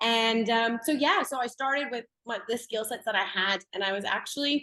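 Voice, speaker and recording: The voice is bright and sharp, with a Canadian accent. Pitch variation is ordinary and the pace moderate. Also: woman. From Canada. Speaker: blockchain educator. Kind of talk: interview. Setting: podcast.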